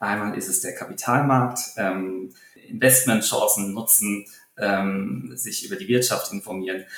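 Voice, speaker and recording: A man speaks fairly slowly with a fairly low pitch and ordinary pitch variation. His loudness swings widely, and there is noticeable background noise. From Germany, Taunus (Hesse). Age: 20s. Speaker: stock analyst. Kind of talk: interview. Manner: halting, many fillers.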